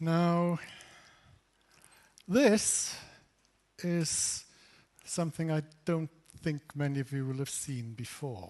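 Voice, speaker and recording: A man at a very slow pace, with ordinary pitch variation and long, frequent pauses. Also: fairly high pitch for a man. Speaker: invited lecturer, physicist. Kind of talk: lecture.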